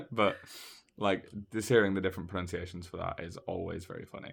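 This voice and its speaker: In a Yorkshire accent, the speaker goes at a fairly quick pace, captured in a very clean recording against a silent background. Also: man. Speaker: podcast host. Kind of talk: casual chat.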